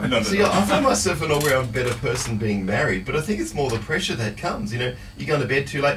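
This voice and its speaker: A man races through his words with hardly a pause, noticeable noise audible behind him. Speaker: radio host. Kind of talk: radio show hosting.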